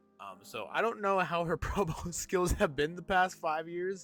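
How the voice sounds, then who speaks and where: At a moderate pace, a man talks while music plays behind him. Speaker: gaming and wrestling youtuber. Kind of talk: casual commentary monologue. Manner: animated.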